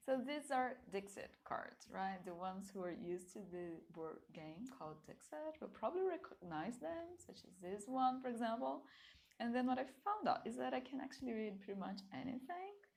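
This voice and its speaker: A woman with a Portuguese accent speaks at a moderate pace and a fairly high pitch. Her voice makes very wide pitch swings and big swings in loudness. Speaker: tarot card reader. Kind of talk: pick-a-card reading. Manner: casual, with filler words.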